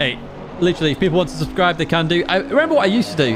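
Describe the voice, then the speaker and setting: A man with high pitch and very wide pitch swings talks at a very fast pace over noticeable background noise. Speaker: sim racing streamer. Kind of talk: live stream chat. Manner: excitable.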